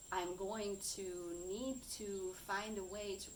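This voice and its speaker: With a German accent, a woman of medium pitch speaks with fairly even intonation, amid audible room echo and noticeable background noise. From Germany. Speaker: coach and content creator. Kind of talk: personal vlog monologue. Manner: halting, searching for words.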